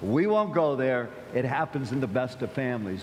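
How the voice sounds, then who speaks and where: With noticeable background noise and audible room echo, a man with an American accent speaks with lively intonation. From US Midwest, Akron, Ohio. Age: 70s. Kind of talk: sermon. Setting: church. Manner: conversational, halting with repetitions.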